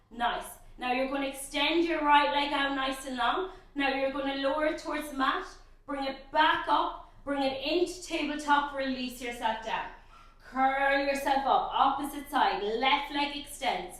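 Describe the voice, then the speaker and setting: At a moderate pace, a woman speaks in a high voice with ordinary pitch variation. Her tone is upbeat, and the room echo is audible. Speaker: pilates instructor. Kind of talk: guided workout instruction. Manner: encouraging, upbeat.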